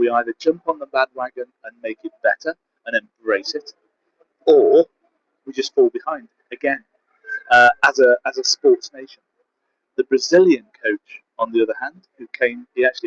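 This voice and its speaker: At a moderate pace, a man with a British accent speaks with long, frequent pauses and big swings in loudness, the sound dry and close with no echo. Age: 60s. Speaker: competitive bodybuilder and coach. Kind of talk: casual vlog monologue. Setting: travel vlog in Budapest.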